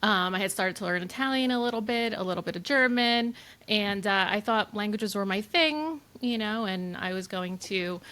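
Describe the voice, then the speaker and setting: In a very clean recording with a silent background, a woman with a Spanish accent speaks at a moderate pace in a medium pitch, with ordinary pitch variation and a bright, sharp tone. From US, Honduran immigrant family. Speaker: wedding photographer, studio owner. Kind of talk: casual interview chat.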